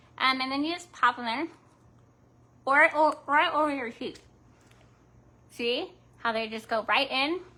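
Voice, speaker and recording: In a raised, projected voice, a woman with a high pitch and ordinary pitch variation speaks at a fairly slow pace with long, frequent pauses. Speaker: crafts livestreamer. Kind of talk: live craft tutorial chat. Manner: casual, halting with fillers.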